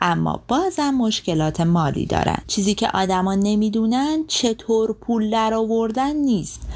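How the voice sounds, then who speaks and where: In a plain, everyday voice, a woman speaks at a moderate pace with fairly high pitch, lively intonation, very even loudness and hardly any pauses. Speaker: podcast host summarizing books. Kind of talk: scripted narration.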